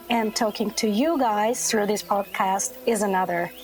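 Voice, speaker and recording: With music in the background, a woman speaks fairly slowly at a fairly high pitch with ordinary pitch variation. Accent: Armenian. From Armenia. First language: Armenian. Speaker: children's book author. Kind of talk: casual chat with kids.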